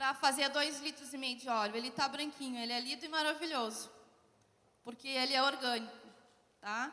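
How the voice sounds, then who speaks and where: A woman's raised, projected voice, high in pitch with a bright, sharp tone, fairly even intonation and a moderate pace, with long, frequent pauses and audible room echo. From southern Brazil, Porto Alegre. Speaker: social enterprise founder. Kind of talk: conference panel talk.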